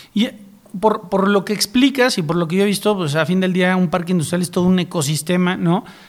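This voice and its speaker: A man's high voice shows ordinary pitch variation, with noticeable background noise present. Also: fairly quick pace. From Mexico, San Luis Potosí. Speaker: podcast host, regional initiative founder. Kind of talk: interview.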